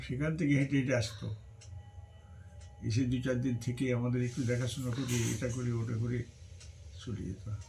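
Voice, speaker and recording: Dark and mellow in tone and somewhat breathy, a man's medium-pitched voice keeps fairly even intonation. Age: old. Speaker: grandfather. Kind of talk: interview answer, family storytelling.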